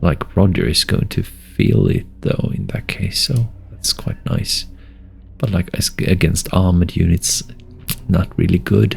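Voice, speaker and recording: Mumbled speech at a fairly slow pace, with very wide pitch swings and noticeable background noise. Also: man. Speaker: strategy game video creator. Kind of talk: gameplay commentary. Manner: casual, hesitant with fillers; mumbling.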